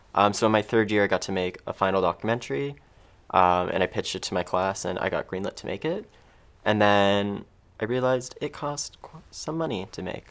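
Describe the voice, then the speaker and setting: In an ordinary speaking voice with a Canadian accent, the speaker talks at a fairly quick pace with ordinary pitch variation and big swings in loudness. The recording is very clean, with a silent background. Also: man, fairly low pitch for a man. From Ontario, Canada (Mississauga). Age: 20s. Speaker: filmmaker and patient advocate. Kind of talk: interview.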